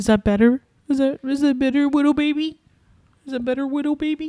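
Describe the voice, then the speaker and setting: A woman speaks loudly at a high pitch, in a dark, mellow tone and at a moderate pace. The sound is dry and close, with no echo. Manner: loud, close to the mic.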